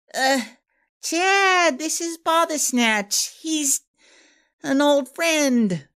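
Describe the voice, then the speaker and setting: This man's put-on character voice is extremely high in pitch and moves at a very slow pace. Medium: read story. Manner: flustered.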